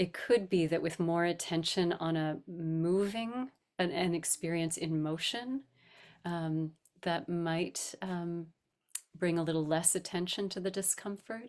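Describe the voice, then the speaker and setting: A woman's gentle, fairly low voice at a fairly slow pace with ordinary pitch variation, on a very clean recording with a silent background. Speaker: rabbi and meditation teacher. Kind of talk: guided meditation discussion. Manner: gentle, slow.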